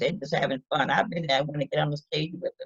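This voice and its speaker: Here, a woman talks. There's a somewhat breathy quality to her voice. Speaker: storyteller. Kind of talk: casual storytelling to camera.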